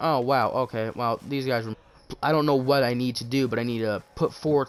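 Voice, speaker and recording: A quiet man with a medium pitch and ordinary pitch variation talks over noticeable background noise. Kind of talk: casual chat. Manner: halting.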